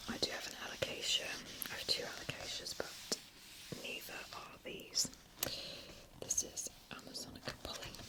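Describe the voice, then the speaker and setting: A woman whispers at a moderate pace, leaving long, frequent pauses. Her loudness swings widely, and noticeable background noise is present. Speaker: ASMR creator. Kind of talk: ASMR whispered book browsing. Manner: whispered.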